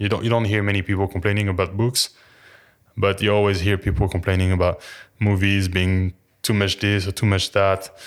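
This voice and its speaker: A man with a French accent speaks in a fairly low pitch at a fairly quick pace. His intonation is monotone and flat, in a very clean recording with a silent background. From France. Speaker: personal trainer. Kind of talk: casual chat. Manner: halting, many fillers.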